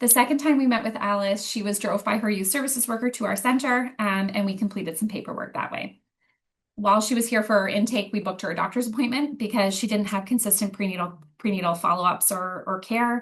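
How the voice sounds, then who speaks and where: Speaking very fast with a Canadian accent, a woman has a fairly high pitch, ordinary pitch variation and a somewhat breathy sound. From Ottawa, Ontario. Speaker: youth program coordinator. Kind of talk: presentation.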